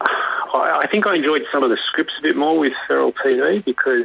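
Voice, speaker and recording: A man talking very fast, with noticeable background noise. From Australia. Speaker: puppeteer. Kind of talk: interview answer. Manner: hesitant, casual.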